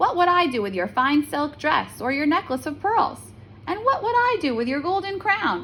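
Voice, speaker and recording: A woman's put-on character voice, high in pitch, at a moderate pace over clear background noise. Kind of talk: bedtime story. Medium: read story.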